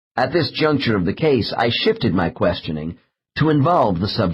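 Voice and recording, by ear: The speaker reads aloud in a natural voice while the background remains quiet.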